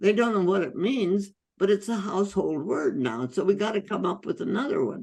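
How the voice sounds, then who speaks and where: Her voice has vocal fry and a medium pitch. The woman talks at a fairly quick pace with lively intonation. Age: 80s+. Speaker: physician, holistic medicine pioneer. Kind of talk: interview answer.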